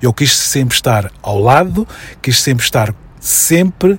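Somewhat breathy, the man's voice moves at a fairly slow pace. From Mozambique (Maputo, Mafalala). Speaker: educator and consultant. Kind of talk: radio interview.

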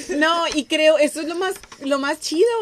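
At a fairly slow pace, a woman talks in a high voice with a Mexican accent. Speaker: podcast host. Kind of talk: casual chat.

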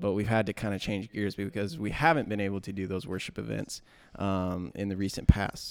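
In a very clean recording with a silent background, a man talks at a moderate pace in an ordinary speaking voice. His pitch is fairly low and his intonation fairly even. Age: 20s. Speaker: college student, podcast co-host. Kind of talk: casual chat.

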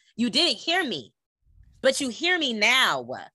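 A woman with an American accent, bright, sharp tone, vocal fry, very wide pitch swings, and a fairly quick pace, on a very clean recording with a silent background and a dry, close sound with no echo. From California. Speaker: podcast host and former teacher. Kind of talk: casual chat. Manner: animated.

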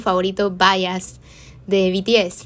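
Bright and sharp in tone, a woman's voice comes across animated. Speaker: podcaster. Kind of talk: casual monologue.

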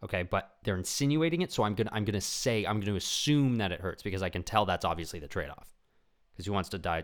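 In a very clean recording with a silent background, a man with a fairly low pitch speaks very fast with lively intonation. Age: 20s. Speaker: podcast host and comedian. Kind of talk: casual solo monologue. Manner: animated.

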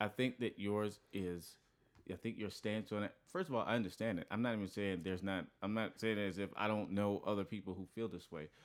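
The recording is very clean with a silent background. A man speaks fairly quickly, his pitch fairly low and his intonation fairly even. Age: 20s. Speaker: podcast guest. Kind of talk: casual chat.

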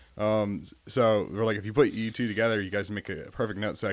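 A man with an American accent, fairly low pitch and a very fast pace. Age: 20s. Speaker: navy corpsman. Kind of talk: casual chat.

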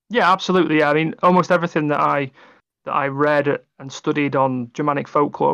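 A fairly high-pitched man with an English accent, fairly quick pace and fairly even intonation against a quiet background. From England. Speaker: tabletop game writer. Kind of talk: casual interview. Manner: halting.

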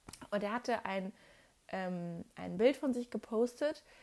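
The recording is very clean, with a silent background. A woman speaks very slowly with lively intonation. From Germany, not Swabia. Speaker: podcast host. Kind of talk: casual monologue. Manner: chatty, many fillers.

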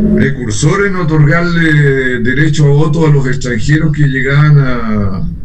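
Audible room echo and noticeable background noise surround a man speaking at a fairly slow pace. His voice is fairly high in pitch and very even in loudness. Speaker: congressman. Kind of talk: radio interview. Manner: formal.

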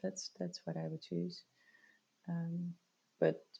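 A woman speaks with a Dutch accent. Her voice is fairly low, with a dark, mellow tone. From rural northern Netherlands. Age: 30s. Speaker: IT worker and local politician. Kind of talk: casual interview.

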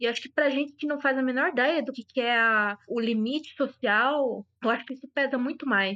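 A woman with a high pitch projects a raised voice in a bright, sharp tone at a moderate pace, with hardly any pauses and ordinary pitch variation, her sound dry and close with no echo over a quiet background. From São Paulo, Brazil. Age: 30s. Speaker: guest. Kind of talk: casual chat.

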